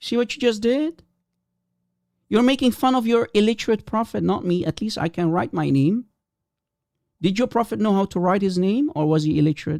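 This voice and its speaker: With a high pitch and lively intonation, this man talks at a fairly quick pace, broken by long, frequent pauses, in a dry, close sound with no echo. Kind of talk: heated debate. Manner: animated.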